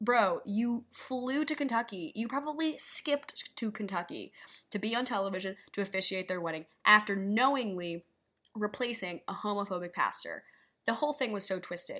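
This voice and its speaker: With an American accent, a woman with a fairly high pitch and a bright, sharp tone speaks at a moderate pace with lively intonation. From New York City. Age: 20s. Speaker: podcast host. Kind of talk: casual solo commentary. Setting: solo recording.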